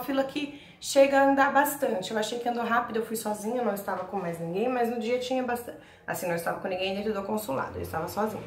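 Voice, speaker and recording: A woman talks at a very fast pace with very wide pitch swings, over noticeable background noise and audible room echo. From Brazil, São Paulo. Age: 20s. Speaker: vlogger. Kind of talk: casual vlog, personal experience and tips. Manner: talkative, chatty.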